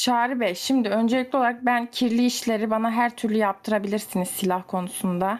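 With a plain, everyday voice, a woman of fairly high pitch talks at a fairly quick pace with fairly even intonation and hardly any pauses. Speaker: gamer friend. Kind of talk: casual chat, party game.

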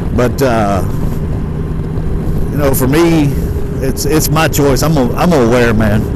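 A man at a moderate pace, dry with no echo, over loud background noise. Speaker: motorcycle vlogger. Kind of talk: casual vlog chat. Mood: relaxed, earnest. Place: motorbike. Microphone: helmet.

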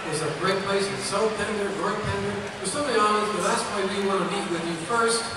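A man at a fairly quick pace, with noticeable background noise and strong room echo. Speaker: sea captain boat owner donating trip. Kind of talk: short pitch describing an auction item. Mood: enthusiastic, promotional. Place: hall. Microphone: camera far.

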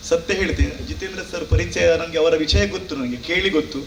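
There is noticeable background noise. Over it, a man talks at a fairly high pitch. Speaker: yakshagana artist. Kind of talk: award acceptance speech.

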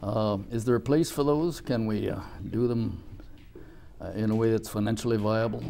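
Over light background noise, a man with a dark, mellow tone and medium pitch talks at a moderate pace, with ordinary pitch variation and long, frequent pauses. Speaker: interviewer. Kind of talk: formal interview. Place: studio.

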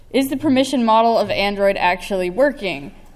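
Speaking with an American accent at a moderate pace, a woman uses lively intonation and a fairly high pitch. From United States. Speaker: security researcher. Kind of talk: conference talk. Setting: stage with audience. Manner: animated. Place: hall. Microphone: podium.

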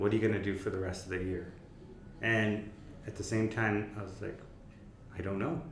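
Through audible room echo and light background noise, a man with a fairly low pitch talks at a moderate pace. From East Africa. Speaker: mental health campaign founder, podcast host; podcast guest. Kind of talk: casual interview chat. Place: meeting room.

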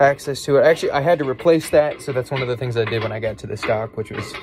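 Very fast male speech with ordinary pitch variation and noticeable background noise. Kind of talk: casual vlog chat. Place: boat. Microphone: earbuds.

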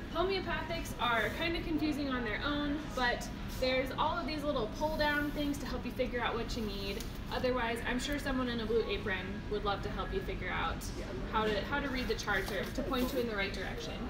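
Loud background noise fills the clip. Over it, a woman talks at a fairly quick pace. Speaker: store nutrition educator. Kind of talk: casual store tour explanation. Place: shop. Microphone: phone near.

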